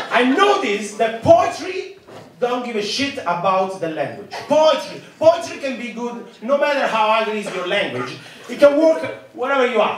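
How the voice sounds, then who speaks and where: In an Italian accent, a voice with very wide pitch swings moves at a moderate pace amid light background noise and audible room echo. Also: man. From Italy. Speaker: stand-up comedian. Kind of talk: stand-up comedy set. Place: stage.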